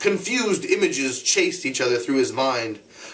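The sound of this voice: Reading in an unforced voice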